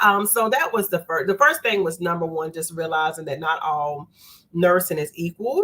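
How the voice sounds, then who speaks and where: A woman with an American accent speaks at a fairly low pitch. Her pace is moderate and her pitch varies in an ordinary way. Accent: Southern US, noticeable abroad. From US South, North Carolina. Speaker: nurse leader. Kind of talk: interview. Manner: animated.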